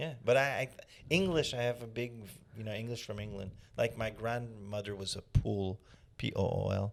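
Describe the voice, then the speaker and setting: Here a man with a Quebec accent talks at medium pitch. He keeps a moderate pace with ordinary pitch variation. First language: French. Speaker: comedian. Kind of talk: casual chat. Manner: halting.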